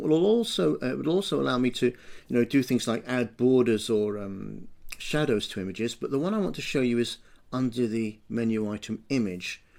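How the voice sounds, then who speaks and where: Speaking at a fairly quick pace, a man uses lively intonation at a medium pitch. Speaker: education technology trainer. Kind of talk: screencast tutorial. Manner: fast; hesitant, many fillers.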